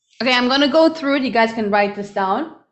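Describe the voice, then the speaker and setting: Audible room echo surrounds this recording. The woman's voice sits high in pitch. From Germany. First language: German. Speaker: online business coach. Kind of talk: live webinar. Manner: animated.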